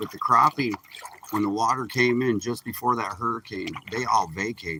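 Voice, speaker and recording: Against noticeable background noise, a man with a medium-pitched voice speaks in a relaxed tone at a fairly slow pace. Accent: American. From Michigan, Upper Peninsula. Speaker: fishing livestreamer. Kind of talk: casual live-stream chat. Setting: outdoors on a boat. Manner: relaxed, chatty.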